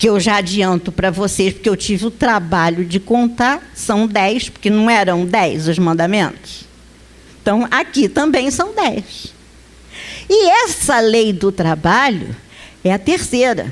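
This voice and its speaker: A woman speaks very slowly with lively intonation and very even loudness. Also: medium pitch for a woman. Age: 50s. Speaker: spiritist lecturer. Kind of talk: lecture. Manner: conversational.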